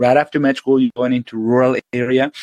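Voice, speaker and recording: A man's medium-pitched voice with a Spanish accent, fairly even intonation, and a dry, close sound with no echo. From Venezuela. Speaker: surgeon. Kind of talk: interview. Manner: halting, many repetitions.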